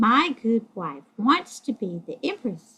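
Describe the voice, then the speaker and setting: Putting on a character voice, a woman speaks at a fairly slow pace with a fairly high pitch and very wide pitch swings. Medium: read story. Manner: meek, reluctant.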